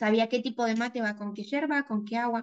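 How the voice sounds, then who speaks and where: A woman speaks with a fairly high pitch. She has an Argentine accent. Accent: Argentine Spanish (voseo). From Argentina, small town near the Chilean border. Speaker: graphic designer and content creator. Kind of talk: interview conversation.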